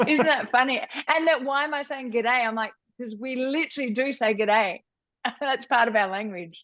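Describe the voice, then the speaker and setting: A woman with an Australian accent and a high pitch talks at a moderate pace with ordinary pitch variation. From Australia, Melbourne. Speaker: reality TV contestant and lawyer. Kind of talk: casual interview chat.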